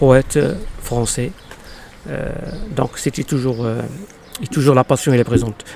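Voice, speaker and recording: A man with an Arabic accent speaks at medium pitch and a moderate pace, with ordinary pitch variation. Long, frequent pauses break his speech amid noticeable background noise. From Morocco, Casablanca. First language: Arabic (speaking French). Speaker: poet. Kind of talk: interview. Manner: halting, many hesitations.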